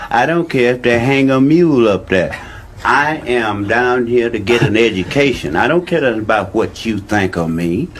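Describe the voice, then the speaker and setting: Noticeable background noise sits behind a man of medium pitch who talks at a moderate pace with lively intonation. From Louisiana. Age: 60s. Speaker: audience member. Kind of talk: heated debate. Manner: animated.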